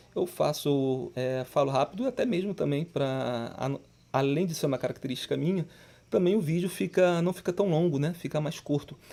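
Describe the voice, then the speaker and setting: Speaking at a moderate pace, this man has a plain, everyday voice and ordinary pitch variation. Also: fairly high pitch for a man. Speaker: Portuguese grammar teacher for exam prep. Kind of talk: tutorial.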